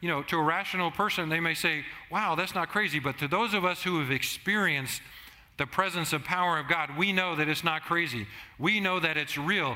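A man with an American accent, high pitch, ordinary pitch variation, very even loudness, a fairly quick pace and audible room echo. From Southern California. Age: 50s. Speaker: pastor. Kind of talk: sermon.

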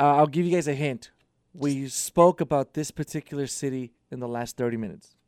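A man with an ordinary speaking voice talks at a fairly quick pace with fairly high pitch and ordinary pitch variation, in a very clean recording with a silent background and a dry, close sound with no echo. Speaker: radio show producer. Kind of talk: casual radio banter and trivia quiz. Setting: radio studio.

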